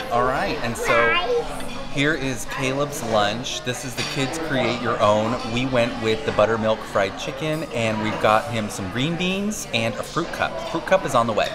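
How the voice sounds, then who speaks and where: Clear music plays in the background. The speaking moves at a fairly slow pace. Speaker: food vlogger. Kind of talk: casual vlog chat. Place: cafe. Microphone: phone near.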